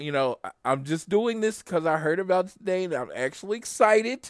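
A man with an animated tone and lively intonation. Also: dry, close sound with no echo. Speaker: podcast host. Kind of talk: casual chat.

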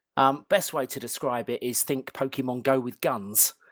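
With a British accent, a man is heard on a very clean recording with a silent background and a dry, close sound with no echo. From London, England. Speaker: game company founder. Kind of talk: interview. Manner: hesitant, many fillers.

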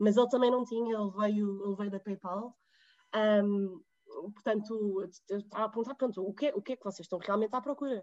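In an ordinary speaking voice, a woman talks at a fairly quick pace with medium pitch, fairly even intonation, and big swings in loudness. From Portugal. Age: 20s. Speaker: digital marketing professional. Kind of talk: interview conversation.

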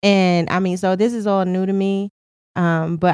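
This woman has a dark, mellow tone and a fairly low pitch, speaking at a moderate pace with an American accent. The sound is dry and close, with no echo. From Queens, New York. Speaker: podcast host, relationship podcast. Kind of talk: casual chat, Q and A.

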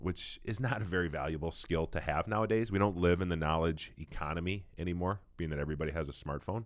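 A man at a very deep, low pitch talks at a very fast pace with hardly any pauses and ordinary pitch variation. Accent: American. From Minnesota, Saint Paul. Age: 40s. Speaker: retired football player. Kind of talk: casual interview. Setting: church building.

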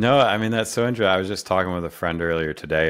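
A man's speech in an American accent, its pitch varying in an ordinary way. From upstate New York (Rochester). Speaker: podcast host. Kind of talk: interview.

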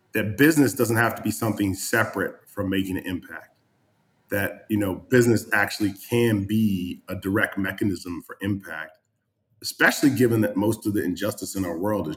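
The man's voice is somewhat breathy and fairly low in pitch. His pitch varies in an ordinary way. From New England. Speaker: real estate entrepreneur. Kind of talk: casual chat.

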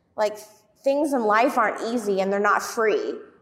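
An ordinary speaking voice moves at a moderate pace. Its intonation stays fairly even. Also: woman. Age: 30s. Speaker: gym co-owner and fitness coach. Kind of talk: casual chat.

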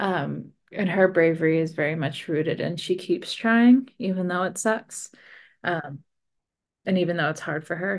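Against a quiet background, a woman with an ordinary speaking voice talks at a moderate pace, her fairly low pitch showing ordinary variation. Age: 30s. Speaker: romance novelist. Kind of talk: interview.

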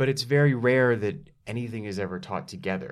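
A man with an American accent speaks at a moderate pace in a fairly low pitch. His intonation is lively, and it's a plain, everyday voice. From Dallas, Texas. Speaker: actor and writer. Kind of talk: casual interview chat. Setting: studio.

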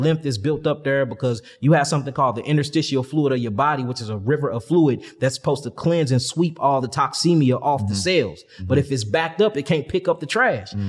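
This man talks at a very fast pace with an American accent, his fairly high pitch somewhat breathy and showing ordinary pitch variation. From St. Louis, Missouri, US Midwest. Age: 30s. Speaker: holistic health teacher. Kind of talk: casual interview.

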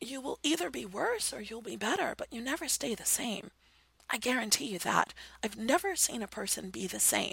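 A woman with a bright, sharp tone and vocal fry speaks at a moderate pace. Her pitch is fairly high and her intonation lively. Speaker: radio host and BDSM counselor, life coach. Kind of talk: solo monologue, advice talk. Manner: animated.

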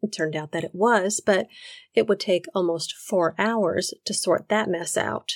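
A woman speaks at a fairly slow pace in a plain, everyday voice of medium pitch, with a dry, close sound and no echo. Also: ordinary pitch variation. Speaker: podcast narrator. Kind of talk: true-crime narration. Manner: measured, storytelling tone; wry, personal, conversational.

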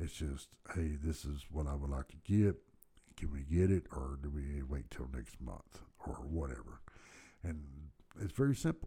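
Someone with an American accent talks at a moderate pace, somewhat breathy, with ordinary pitch variation. The tone is dark and mellow, broken by long, frequent pauses. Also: man, very deep, low pitch for a man. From Texas, Dallas. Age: 50s. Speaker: podcast host. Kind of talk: casual monologue storytelling. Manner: hesitant, many fillers.

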